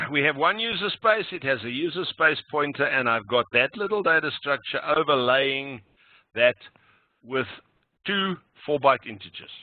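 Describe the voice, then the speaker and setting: A man talks in a fairly high pitch with lively intonation. He leaves long, frequent pauses. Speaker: programming instructor. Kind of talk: lecture. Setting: online meeting recording. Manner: slow, deliberate.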